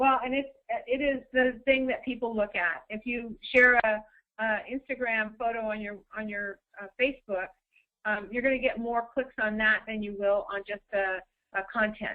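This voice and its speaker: A woman talks in a plain, everyday voice. Her pitch is fairly high and her intonation fairly even. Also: moderate pace. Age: 60s. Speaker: social media consultant. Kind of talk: webinar presentation.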